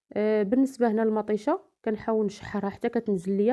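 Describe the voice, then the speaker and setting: At a medium pitch, a woman talks with ordinary pitch variation and a moderate pace. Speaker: home cook, cooking channel host. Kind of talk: cooking tutorial voice-over. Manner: hesitant fillers.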